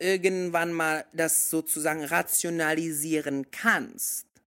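Talking at a very slow pace, a man with a high pitch has a bright, sharp tone. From mixed: Indonesia and several countries. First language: English (speaking German). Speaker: podcast co-host. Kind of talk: casual chat. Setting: remote call.

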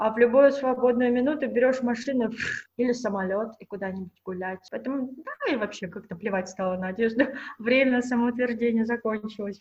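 Her pitch is fairly high, with ordinary variation. The woman talks at a fairly quick pace. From Russia. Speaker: fashion pattern maker. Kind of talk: casual chat. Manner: animated.

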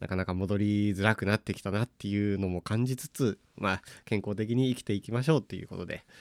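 A man speaks at a very fast pace with hardly any pauses and fairly even intonation, the sound dry and close with no echo on a very clean recording with a silent background. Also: fairly low pitch for a man. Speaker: trombonist and podcast host. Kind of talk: solo podcast monologue.

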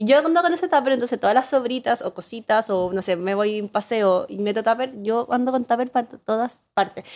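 A woman talks at a fairly quick pace in a Chilean accent. Her fairly high voice shows ordinary pitch variation. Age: 30s. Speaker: advertising professional and content creator. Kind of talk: casual chat.

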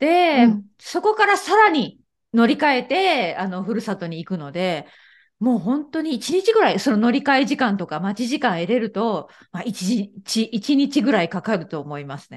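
A woman's fairly high voice with very wide pitch swings and big swings in loudness, over a quiet background. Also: moderate pace. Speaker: Japanese teacher. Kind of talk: casual chat.

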